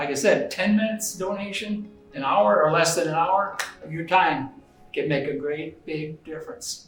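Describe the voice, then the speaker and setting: Over music in the background and audible room echo, a man speaks at a moderate pace in a high pitch, with lively intonation and big swings in loudness. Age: 70s. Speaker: blood donor, retiree. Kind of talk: testimony. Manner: halting, many fillers and repeats.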